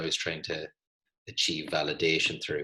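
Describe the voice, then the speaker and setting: A man with an Irish accent talks at a moderate pace. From Ireland. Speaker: physiotherapist and podcast host. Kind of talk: casual conversation.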